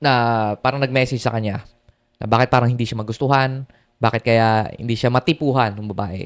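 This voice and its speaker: Very fast and fairly even in intonation, a man speaks at a medium pitch in a very clean recording with a silent background and a dry, close sound without echo. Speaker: dating coach YouTuber. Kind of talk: vlog monologue. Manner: casual, filler-heavy.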